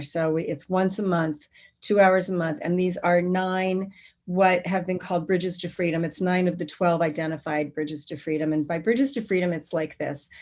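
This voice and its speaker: In a normal speaking voice, a woman talks at a moderate pace with a fairly low pitch and fairly even intonation. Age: 60s. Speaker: spiritual teacher and workshop founder. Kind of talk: interview.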